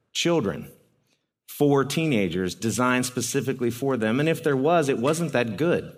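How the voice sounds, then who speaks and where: Using a normal speaking voice, a man talks at medium pitch with lively intonation. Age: 40s. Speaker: youth ministry speaker. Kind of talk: talk to parents.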